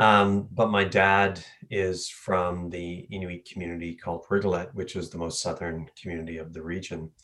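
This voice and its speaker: A man with a Labrador accent speaks at a moderate pace with hardly any pauses. His very deep, low voice is monotone and flat, with big swings in loudness. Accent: Labrador Canadian English. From Labrador, Canada. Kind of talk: interview.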